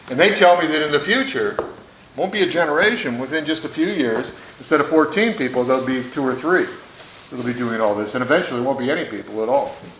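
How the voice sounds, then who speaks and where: Audible room echo and noticeable background noise surround a voice with an American accent. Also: man. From US Midwest, Detroit, Michigan. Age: 60s. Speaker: former member of Congress. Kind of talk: panel talk to students. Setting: school conference hall with audience. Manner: conversational with frequent fillers.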